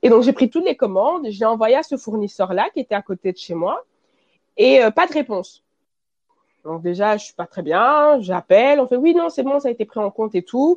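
A woman with a fairly high pitch shows very wide pitch swings and big swings in loudness, in a dry, close sound with no echo. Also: moderate pace. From Belgium. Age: 20s. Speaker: fashion brand founder. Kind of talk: interview.

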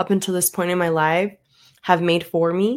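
With an ordinary speaking voice, a woman talks at a moderate pace in a fairly low pitch with fairly even intonation, recorded very cleanly over a silent background. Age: 20s. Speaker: podcast host, real estate agent. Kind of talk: motivational monologue. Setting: solo microphone recording.

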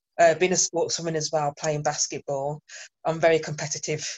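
Speaking at a fairly quick pace with a Birmingham accent, a woman has a very deep, low pitch. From England, Birmingham. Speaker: workplace trainer. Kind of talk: panel discussion.

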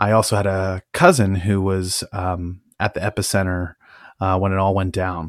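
A man speaks with a West Coast accent and a fairly low pitch. The sound is dry and close with no echo, on a very clean recording with a silent background. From California, Napa Valley. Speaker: podcast host, hobby cannabis grower. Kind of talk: solo monologue, personal story. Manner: casual with many filler words.

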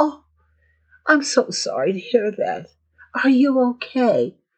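In a put-on character voice, the speaker sounds whiny and goes at a fairly slow pace. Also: female-sounding voice, high pitch for a woman. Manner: whiny, sympathetic.

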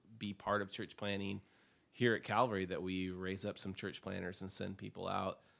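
On a very clean recording with a silent background, a man with an American accent speaks at a moderate pace in a fairly low pitch, his tone bright and sharp. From Oregon, US (Portland). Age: 40s. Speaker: senior pastor. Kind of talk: interview, life story.

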